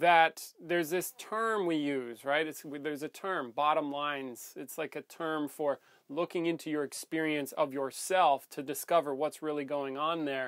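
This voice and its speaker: A man speaks at a moderate pace with fairly even intonation and hardly any pauses. The background is quiet. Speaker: coach or workshop facilitator. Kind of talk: casual monologue to camera. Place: home room.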